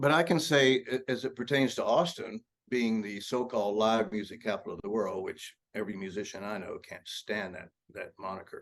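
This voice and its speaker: Talking at a fairly quick pace, a man with a Texan accent uses medium pitch, lively intonation, and big swings in loudness. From Texas (Lubbock and Brownwood). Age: 70s. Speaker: blues rock guitarist. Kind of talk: casual interview.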